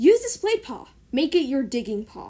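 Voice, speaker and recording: A gruff, put-on character voice from a woman, high in pitch with very wide pitch swings, at a moderate pace. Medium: read story. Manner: gruff, grunting.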